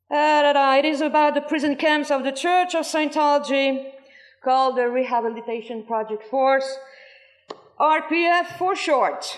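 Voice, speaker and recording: A woman talks at a moderate pace and a high pitch. Her pitch varies in an ordinary way. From France. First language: French. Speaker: former cult member speaking at a protest. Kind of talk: testimony. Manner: halting.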